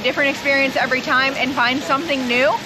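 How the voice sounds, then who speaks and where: Noticeable background noise around a woman's raised, projected voice. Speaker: travel vlogger. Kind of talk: travel vlog. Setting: outdoors at theme park.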